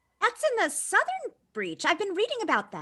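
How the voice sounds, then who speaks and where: This is a put-on character voice, squeaky and extremely high pitched. It goes at a moderate pace. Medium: audio drama. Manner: matter-of-fact, analytical.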